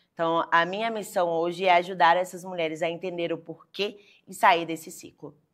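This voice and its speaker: A woman with a fairly low pitch speaks at a moderate pace in a monotone, flat intonation. Her loudness swings widely in a very clean recording with a silent background. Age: 20s. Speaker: lawyer. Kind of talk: interview. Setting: studio.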